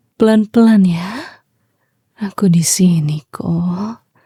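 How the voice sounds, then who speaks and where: Speaking at a very slow pace, a woman has a dark, mellow tone that is somewhat breathy, with fairly even intonation. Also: dry, close sound with no echo. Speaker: ASMR roleplay performer, VTuber. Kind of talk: ASMR roleplay, intimate girlfriend/wife style. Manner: soft, soothing, whispered-gentle, comforting.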